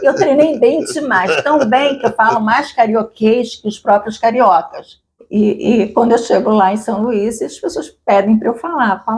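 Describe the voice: With a strong Rio de Janeiro accent, a woman speaks fairly slowly at a fairly high pitch, her intonation lively and her speech broken by hardly any pauses. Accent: strong Rio de Janeiro (carioca).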